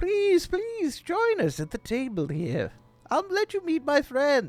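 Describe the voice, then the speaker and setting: This is a put-on character voice, and it is squeaky. It moves at a fairly slow pace. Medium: actual play. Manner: repetitive, eager.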